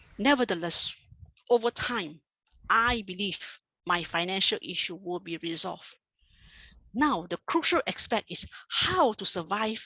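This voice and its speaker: A bright, sharp tone with lively intonation at a fairly slow pace, dry and close with no echo against a quiet background. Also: woman. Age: 60s. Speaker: retired banker, administrator. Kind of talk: prepared speech.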